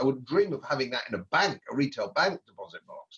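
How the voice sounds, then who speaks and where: Somewhat breathy, a man with an English accent talks at a fairly quick pace and a fairly high pitch. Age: 70s. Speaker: former politician and economist. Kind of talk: podcast interview. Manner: animated.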